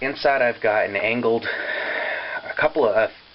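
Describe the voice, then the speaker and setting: A man's pitch varies in an ordinary way while noticeable noise sits in the background. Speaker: paintball equipment tester. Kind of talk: casual talk to camera. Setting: poor camera microphone.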